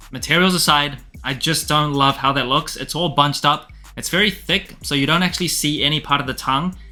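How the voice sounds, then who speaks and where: Over music in the background, a man with a non-native accent talks at a fairly quick pace, his fairly high voice keeping a fairly even intonation. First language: not English. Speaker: sneaker reviewer. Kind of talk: product review. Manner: casual.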